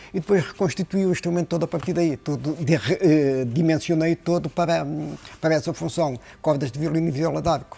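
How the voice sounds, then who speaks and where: Fairly high for a man, this voice has a dark, mellow, somewhat breathy tone. He speaks at a fairly quick pace. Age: 60s. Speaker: luthier. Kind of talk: interview. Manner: hesitant with fillers and repetitions.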